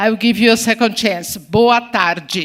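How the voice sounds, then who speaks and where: A woman speaks at a fairly slow pace with a fairly high pitch and ordinary pitch variation. Her tone is bright and sharp, and the recording is very clean with a silent background. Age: 60s. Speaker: ambassador. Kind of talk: speech.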